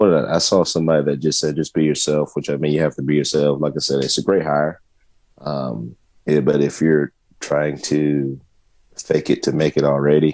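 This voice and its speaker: In a Southern US accent, a man talks at a moderate pace with a very deep, low pitch and monotone, flat intonation. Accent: Southern country. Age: 30s. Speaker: sports podcast co-host. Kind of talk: casual chat.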